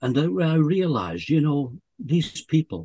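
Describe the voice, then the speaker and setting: A somewhat breathy voice, dark and mellow in tone, with a dry, close sound and no echo. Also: man. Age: 70s. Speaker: bucket list storyteller, lung transplant recipient. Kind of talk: casual interview.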